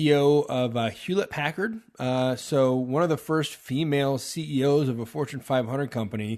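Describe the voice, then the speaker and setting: Pitch varies in an ordinary way at a moderate pace. The background is quiet. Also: man. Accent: Texan. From Texas. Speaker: podcast host. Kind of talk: political commentary monologue. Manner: hesitant, many filler uhs.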